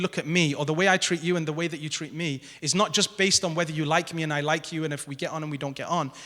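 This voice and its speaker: A man talks at a very fast pace with hardly any pauses. His voice is high-pitched, with a bright, sharp tone. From northern England. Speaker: academic panelist. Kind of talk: panel talk. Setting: stage with audience in a grand hall.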